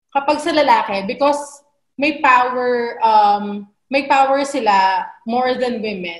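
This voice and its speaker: The background is quiet. Room echo is audible. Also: woman. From Philippines. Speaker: feminist activist; webinar panelist. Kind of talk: webinar panel discussion. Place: home room. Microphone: webcam.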